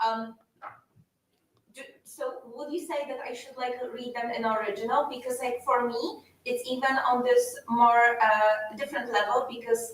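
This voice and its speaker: A woman with a Polish accent speaks at a moderate pace in a high pitch with fairly even intonation. Her loudness swings a lot. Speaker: audience member. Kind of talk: audience question. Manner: halting.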